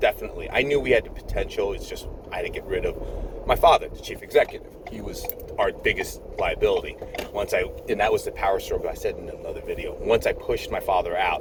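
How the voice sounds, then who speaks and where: Over noticeable background noise, a man talks very fast at an extremely high pitch, his loudness swinging widely. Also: fairly even intonation. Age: 50s. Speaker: nurse. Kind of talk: casual chat. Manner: rambling, repetitive. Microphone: poor sound quality.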